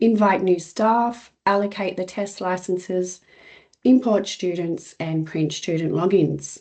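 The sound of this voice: A woman with a dark, mellow tone talks at a fairly slow pace, her pitch varying in an ordinary way.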